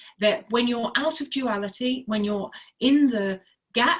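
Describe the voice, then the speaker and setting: Somewhat breathy and fairly high, a woman's voice moves at a fairly slow pace with lively intonation. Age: 60s. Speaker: health and wellness advocate. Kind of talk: casual chat.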